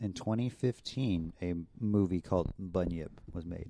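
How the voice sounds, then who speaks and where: A man with a very deep, low pitch and a dark, mellow tone speaks with ordinary pitch variation. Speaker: podcast host. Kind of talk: casual chat. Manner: joking, laughs often.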